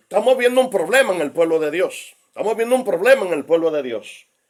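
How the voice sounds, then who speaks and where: In a put-on character voice, a man bellows at a very fast pace, high in pitch with very wide pitch swings. His voice sounds hoarse and strained. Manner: dramatic, as if having a fit.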